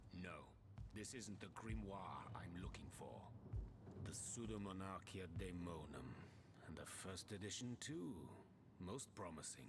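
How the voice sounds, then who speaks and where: A man uses a put-on character voice with a very deep, low pitch, speaking at a moderate pace. Long, frequent pauses break his speech over loud background noise. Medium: video game. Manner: haughty, dismissive.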